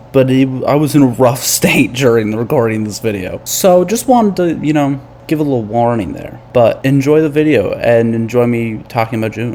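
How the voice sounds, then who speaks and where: Over noticeable background noise, a man at a medium pitch talks fairly quickly with hardly any pauses. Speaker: vlogger. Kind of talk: casual monthly review vlog. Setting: at family home, different setup. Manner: quiet, soft-spoken. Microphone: recorded quietly.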